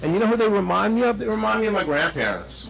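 A man is speaking with noticeable background noise. There is audible room echo. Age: 60s. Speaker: resident speaking at public comment. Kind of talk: public comment at village board meeting. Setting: village board meeting room. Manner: halting, many fillers and restarts.

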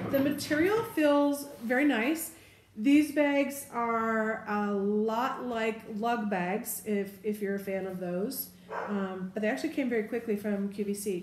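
A woman at a fairly slow pace with ordinary pitch variation, audible room echo and light background noise. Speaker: bag reviewer. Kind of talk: casual product review. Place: home room. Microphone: camera far.

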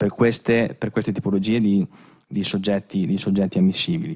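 A man's fairly low voice moves with ordinary pitch variation against a quiet background. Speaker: business consultant; conference presenter. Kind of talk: conference presentation. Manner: halting, many fillers. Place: hall. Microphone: podium.

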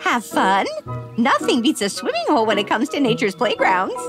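Clear music plays behind a cartoonish character voice that is fairly high-pitched and moves at a fairly quick pace. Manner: warm, doting, storytelling.

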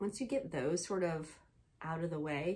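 Her intonation rises and falls in a lively way. The woman's voice is somewhat breathy. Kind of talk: casual vlog chat. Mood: warm, upbeat. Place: home room. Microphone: phone near.

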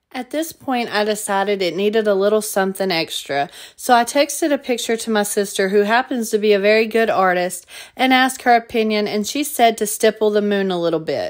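A woman with a Southern US accent speaks at a fairly quick pace and a fairly high pitch with ordinary pitch variation, on a very clean recording with a silent background. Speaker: DIY crafter and video creator. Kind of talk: tutorial.

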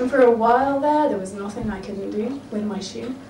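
A speaker with an English accent uses lively intonation and an animated, playful tone amid audible room echo and light background noise. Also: woman. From England. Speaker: poet. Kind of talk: spoken word poem performance, rhythmic rhyming verse with comic punchlines. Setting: live on stage with audience. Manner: animated, playful, wry comic timing with laughs. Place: bar.

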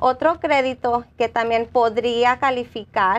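At a very slow pace, a woman speaks with a fairly high pitch and fairly even intonation. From Los Angeles, California. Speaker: nonprofit employment worker; guest. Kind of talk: community TV interview. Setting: TV studio. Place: studio. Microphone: lapel.

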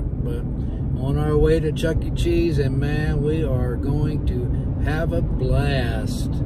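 A man speaks over loud background noise in a dry sound with no echo. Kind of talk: casual vlog chat. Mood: relaxed, cheerful. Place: car. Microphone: phone near.

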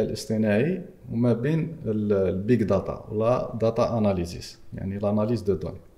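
Here a man speaks at a moderate pace. His medium pitch varies in an ordinary way. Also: quiet background. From Algeria. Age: 30s. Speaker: entrepreneur and AI/e-commerce expert; podcast guest. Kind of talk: podcast interview; interview answer. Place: studio. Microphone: studio mic.

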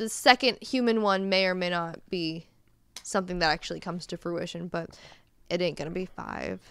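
A woman's fairly low voice at a fairly quick pace, ordinary pitch variation, dry sound with no echo. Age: 30s. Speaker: podcast co-host. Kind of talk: casual chat. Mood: relaxed, chatty. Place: home room. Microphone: studio mic.

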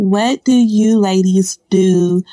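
A woman speaks at a very slow pace with an American accent. The sound is dry and close, with no echo. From US South, Georgia. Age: 30s. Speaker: listener. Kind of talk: voice message.

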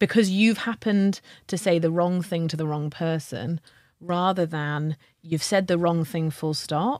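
The recording is very clean with a silent background. A woman speaks fairly slowly in an ordinary speaking voice, her pitch fairly low with ordinary pitch variation. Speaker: podcast co-host, leadership culture consultant. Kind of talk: casual conversation.

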